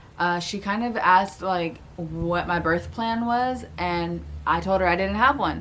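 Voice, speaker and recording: In an ordinary speaking voice, a woman talks with an American accent and ordinary pitch variation. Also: fairly low pitch for a woman, fairly slow pace. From Florida. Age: 20s. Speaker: new mother, vlogger. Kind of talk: casual talk to camera.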